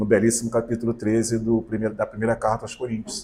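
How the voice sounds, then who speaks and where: A man speaks in a somewhat breathy voice. His pitch sits in the middle range. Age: 60s. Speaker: spiritist lecturer. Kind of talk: sermon.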